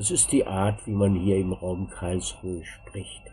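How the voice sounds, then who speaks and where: The man's pitch is very deep and low. His intonation is fairly even. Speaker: German language teacher. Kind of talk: language lesson narration.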